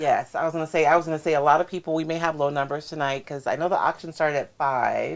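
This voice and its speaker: At a very fast pace with hardly any pauses, a woman speaks in a very deep, low pitch and a monotone, flat intonation. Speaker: craft livestream host. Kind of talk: casual livestream chat. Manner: mumbles, not projecting.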